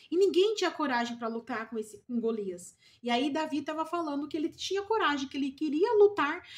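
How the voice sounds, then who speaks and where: A woman speaking at a moderate pace. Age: 40s. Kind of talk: devotional Bible teaching. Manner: informal, conversational.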